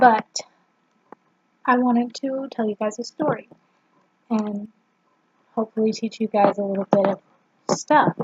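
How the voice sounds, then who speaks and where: A quiet woman's fairly high voice at a moderate pace, fairly even in intonation, with long, frequent pauses. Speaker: vlogger. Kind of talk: casual vlog. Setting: at home, family member sleeping nearby. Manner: quiet, subdued.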